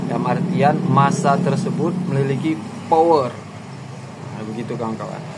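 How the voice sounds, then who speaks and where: A man's fairly high voice at a moderate pace, with long, frequent pauses, audible room echo and noticeable background noise. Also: ordinary pitch variation. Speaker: YouTuber discussing social issues. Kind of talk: casual commentary monologue. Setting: outdoors by a main road, at a coffee spot. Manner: loud.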